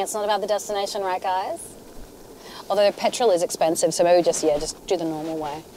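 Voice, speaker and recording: Her intonation is lively as the woman talks at a fairly quick pace. The sound is dry with no echo, over light background noise. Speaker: comic actor playing passenger types. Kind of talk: comedy sketch acting. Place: car. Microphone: camera far.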